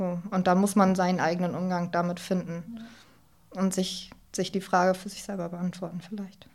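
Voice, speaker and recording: Her voice somewhat breathy, a woman of medium pitch speaks at a moderate pace with monotone, flat intonation. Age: 20s. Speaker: former peer counselor sharing suicide loss. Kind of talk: personal testimony in interview. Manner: halting, many fillers.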